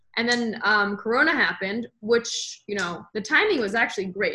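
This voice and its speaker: A woman talks with an American accent. Her pace is fairly quick. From United States. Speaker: podcast host, entrepreneur. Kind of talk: interview, casual chat.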